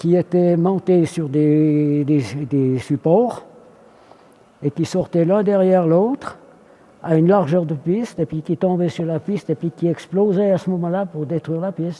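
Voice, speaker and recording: A man's high voice shows ordinary pitch variation as he talks fairly slowly. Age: 80s+. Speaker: military aircraft armourer, veteran of the Swiss army. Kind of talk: interview answer.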